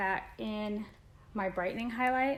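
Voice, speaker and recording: A woman's fairly high voice with ordinary pitch variation, at a fairly slow pace. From Indiana, US Midwest. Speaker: beauty vlogger. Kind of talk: makeup tutorial. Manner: quiet, concentrating.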